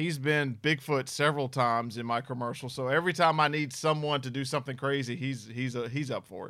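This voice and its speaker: A man with a Southern US accent speaks at a medium pitch in a bright, sharp tone, with fairly even intonation. He leaves hardly any pauses on a very clean recording with a silent background. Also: fairly quick pace. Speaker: paranormal investigator. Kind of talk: casual chat.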